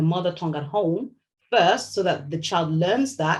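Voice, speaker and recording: A woman speaks at a moderate pace in a fairly low, somewhat breathy voice with ordinary pitch variation. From Nigeria, Lagos. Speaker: novelist. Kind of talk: interview. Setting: video call.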